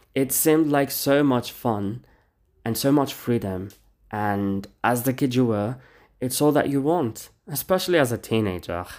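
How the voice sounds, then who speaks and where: In a very clean recording with a silent background, a man with a normal speaking voice talks at a fairly slow pace and medium pitch. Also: lively intonation. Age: 20s. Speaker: podcast host. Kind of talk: casual solo monologue.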